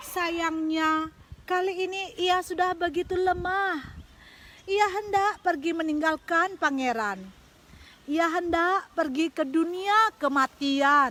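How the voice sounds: A woman at an extremely high pitch, with a fairly bright tone, ordinary pitch variation and a slow pace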